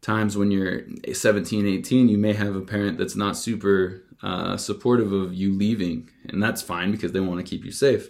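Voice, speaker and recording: A man speaks in a normal speaking voice, fairly low in pitch with ordinary pitch variation, at a moderate pace. The recording is very clean, with a silent background. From Utah. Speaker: test prep tutor and podcast host. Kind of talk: solo podcast monologue. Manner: casual, with frequent fillers.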